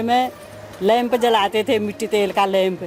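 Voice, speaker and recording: Her intonation stays fairly even, and her pitch sits fairly high for a woman. Noticeable background noise runs underneath. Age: 70s. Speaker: elderly villager. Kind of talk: interview.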